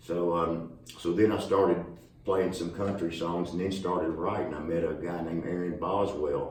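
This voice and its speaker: Moderate pace and flat, monotone intonation in a Southern US accent, with noticeable background noise and audible room echo. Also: man, very deep, low pitch for a man. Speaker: country singer-songwriter. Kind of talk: casual interview.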